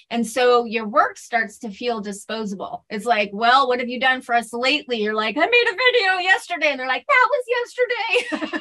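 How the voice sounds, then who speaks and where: A woman with a high pitch uses a raised, projected voice and lively intonation, barely pausing, over noticeable background noise. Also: moderate pace. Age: 40s. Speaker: podcaster and writer. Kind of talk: interview.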